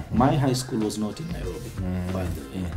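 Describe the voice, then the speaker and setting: With clear music in the background, a man talks in a fairly low pitch. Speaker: guest actor. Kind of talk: interview answer. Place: street. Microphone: lapel.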